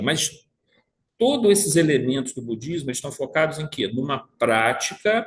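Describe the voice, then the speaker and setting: A man's voice comes across somewhat breathy. His intonation is lively. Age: 60s. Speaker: spiritist study group leader. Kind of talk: study group lecture. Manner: halting, many repetitions.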